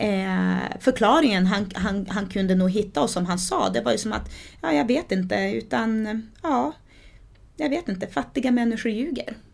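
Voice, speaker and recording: A woman's fairly slow speech with vocal fry and very wide pitch swings. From Sweden, adopted from Brazil at age eight. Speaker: author. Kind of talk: interview, personal life story. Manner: halting, many repetitions and fillers.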